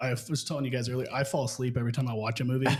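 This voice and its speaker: The intonation stays monotone and flat. It belongs to a man. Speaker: real estate business owner. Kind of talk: casual interview chat. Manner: fast.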